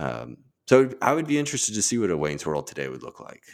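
A man with very wide pitch swings and vocal fry, at a very fast pace. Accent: American. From US South, Mississippi. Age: 30s. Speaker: podcaster. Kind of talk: casual chat.

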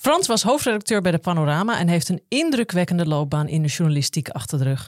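On a very clean recording with a silent background, a woman uses a normal speaking voice, fairly low in pitch, with lively intonation. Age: 40s. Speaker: podcast host and detox coach. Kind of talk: interview.

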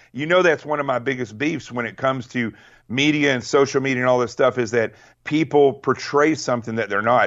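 A man with an American accent speaks in an unremarkable speaking voice at medium pitch. He talks at a fairly quick pace with ordinary pitch variation. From Arkansas, US South. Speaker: guest with military and law enforcement background. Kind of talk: casual interview chat.

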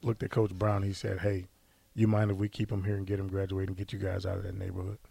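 Over a silent background in a very clean recording, a man with a fairly low pitch and a somewhat breathy voice talks at a very fast pace. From US Midwest, St. Louis. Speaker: former college football player and coach. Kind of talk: interview.

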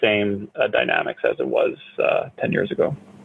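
Over noticeable background noise, a man speaks with a Canadian accent. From Canada. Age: 30s. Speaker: real estate startup CEO. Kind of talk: interview. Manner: halting, many fillers.

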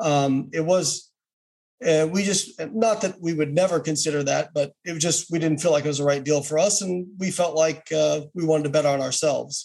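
Here a man uses a normal speaking voice with a fairly high pitch. He keeps a moderate pace and ordinary pitch variation. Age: 40s. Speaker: nutrition scientist and bodybuilder. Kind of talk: interview. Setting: video call.

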